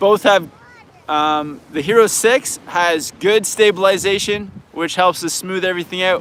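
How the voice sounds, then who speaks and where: Over noticeable background noise, a man with a high pitch speaks at a fairly slow pace. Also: ordinary pitch variation. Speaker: snowboard instructor and video creator. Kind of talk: live Q&A stream. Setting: outdoors at a beach. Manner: casual, halting with many restarts.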